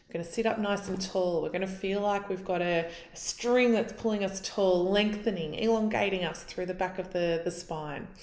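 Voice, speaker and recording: Audible room echo surrounds a woman's voice. She speaks at a medium pitch and a moderate pace. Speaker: pain and stress coach. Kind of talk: guided exercise tutorial.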